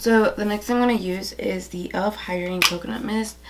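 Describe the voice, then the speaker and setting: A soft-spoken woman with ordinary pitch variation, amid noticeable background noise and audible room echo. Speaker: beauty vlogger. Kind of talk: makeup tutorial. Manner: casual, filler-heavy.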